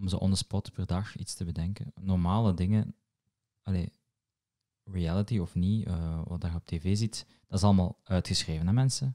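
At a moderate pace, a man with a Moroccan accent speaks in a very deep, low pitch and a dark, mellow tone, with fairly even intonation against a quiet background. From Morocco. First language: Moroccan Arabic (speaking Dutch). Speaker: podcast host and comedy writer; podcast host. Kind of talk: casual chat. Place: home room. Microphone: studio mic.

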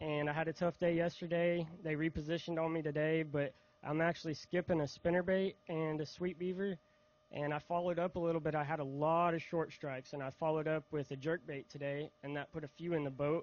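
With a Southern US accent, a man speaks at a fairly quick pace and fairly high pitch, his intonation monotone and flat, in a dry sound with no echo. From Mississippi. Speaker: bass angler. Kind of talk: stage interview. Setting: outdoor stage with audience. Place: stage. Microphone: handheld.

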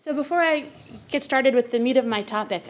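A woman's pitch shifts in an ordinary way, with light background noise behind her. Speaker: invited lecturer. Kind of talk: lecture. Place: meeting room.

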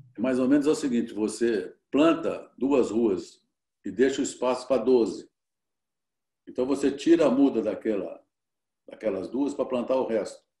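A man speaks with long, frequent pauses, with audible room echo and a quiet background. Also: moderate pace. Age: 70s. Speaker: cattle rancher and businessman; guest. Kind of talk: interview. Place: home room. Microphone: video call.

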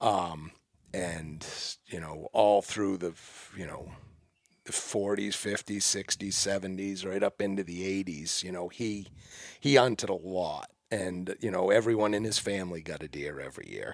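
Over a very clean recording with a silent background, a man speaks at a fairly slow pace, low in pitch with vocal fry and ordinary pitch variation.

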